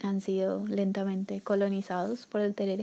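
A woman with a slight Paraguayan accent speaks at medium pitch and a moderate pace. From Paraguay, Asunción. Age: 20s. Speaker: migrant sharing her story. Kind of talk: personal testimony interview. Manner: halting, repeats words.

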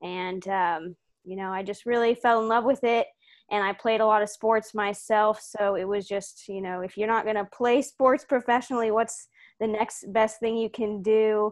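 Over a quiet background, a woman with an American accent speaks in a plain, everyday voice at a fairly high pitch. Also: fairly even intonation, moderate pace. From Houston, Texas. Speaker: sports recruiting analyst. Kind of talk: interview.

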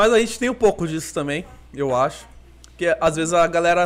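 This man's high-pitched voice moves at a moderate pace, its pitch variation ordinary. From Brazil, Cuiabá. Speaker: podcast host. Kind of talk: casual chat.

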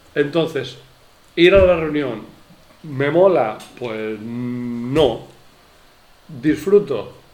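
A man's fairly high, lively voice at a very slow pace with long, frequent pauses, plus audible room echo and noticeable background noise. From Spain, Elche. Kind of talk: casual chat.

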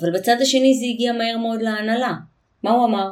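Her voice is a plain, everyday voice, pitched fairly high for a woman. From Israel. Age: 40s. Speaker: intercultural communication consultant. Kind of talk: interview.

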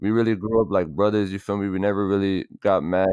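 With a quiet background, a man with an American accent talks at a fairly quick pace in a fairly low pitch, a plain, everyday voice. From South Florida (Miami and Broward, Miramar). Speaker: music producer and artist. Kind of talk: casual chat.

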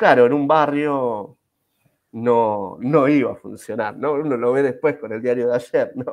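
At a fairly slow pace, a man with an ordinary speaking voice talks at medium pitch with ordinary pitch variation. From Argentina, Buenos Aires. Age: 40s. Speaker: Scrum master and IT teacher. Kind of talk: casual interview. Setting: live video stream.

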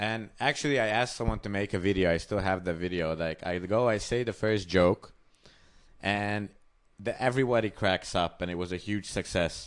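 A man's fairly low voice carries ordinary pitch variation and moves at a moderate pace. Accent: Hungarian. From Hungary. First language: Hungarian. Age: 20s. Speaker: comedian. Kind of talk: casual chat.

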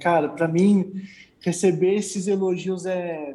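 A man's high-pitched voice with a dark, mellow tone and fairly even intonation. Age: 20s. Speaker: car enthusiast and content creator. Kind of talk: casual chat.

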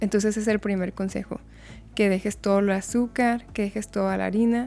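A soft-spoken woman is talking. Her pace is fairly quick. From Mexico (Chihuahua). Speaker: nutritionist. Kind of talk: casual chat.

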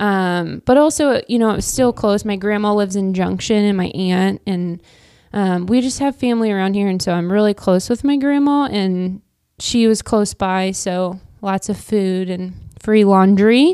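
With a Midwestern American accent, the speaker has a dark, mellow tone, ordinary pitch variation and a moderate pace, recorded very cleanly against a silent background. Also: woman, medium pitch for a woman. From Kansas (Wichita). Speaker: real estate agent and coach's wife. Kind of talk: casual interview chat. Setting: podcast studio. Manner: talkative.

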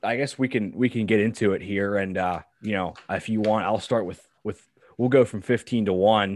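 With an American accent, a man speaks at a moderate pace in an unremarkable speaking voice, fairly low in pitch and fairly even in intonation, against a quiet background. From Pittsburgh, Pennsylvania. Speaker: podcast co-host, college football fan. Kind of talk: casual chat.

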